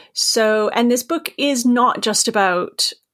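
The recording of this woman's voice is very clean. No sound at all comes from the background. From Maine, US. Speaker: author. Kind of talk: casual interview chat.

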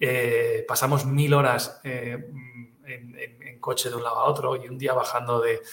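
Audible room echo surrounds a man with a medium pitch. His intonation stays monotone and flat while his loudness swings widely. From Catalonia. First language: Catalan (speaking Spanish). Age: 40s. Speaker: retail expert. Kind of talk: interview. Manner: halting, many repetitions.

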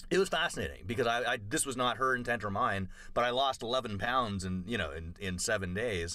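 A man with a fairly low pitch and a bright, sharp tone talks at a moderate pace. His intonation is lively, and the recording is very clean with a silent background. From Canada, Toronto. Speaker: comedian. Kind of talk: casual chat.

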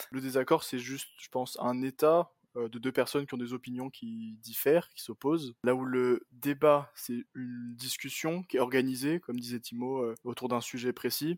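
A man with an unremarkable speaking voice talks at a moderate pace and medium pitch, with fairly even intonation, hardly any pauses and big swings in loudness. The sound is dry and close with no echo, on a very clean recording with a silent background. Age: 20s. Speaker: computer science student. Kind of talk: casual chat.

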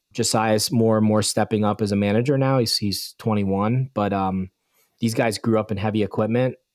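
A man with an American accent speaks at a moderate pace in a fairly low voice, his loudness very even and the sound dry and close with no echo. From Bucks County, Pennsylvania. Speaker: snow removal business owner. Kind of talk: podcast interview. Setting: video call.

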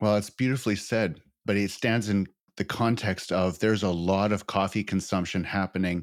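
A man speaks at a moderate pace in a fairly low pitch. The recording is very clean, with a silent background. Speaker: podcast host. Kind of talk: interview conversation.

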